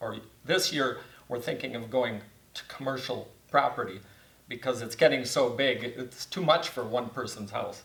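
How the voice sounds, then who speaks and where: In an Upper Midwest accent, the speaker keeps a moderate pace and fairly even intonation against noticeable background noise. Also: man. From Wisconsin (Beaver Dam). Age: 70s. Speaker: church facility manager. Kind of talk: casual interview.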